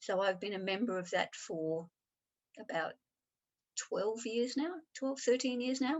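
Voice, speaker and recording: A woman talks with an Australian accent. Her pitch is high and her intonation lively. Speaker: improviser and applied improvisation trainer. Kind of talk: interview.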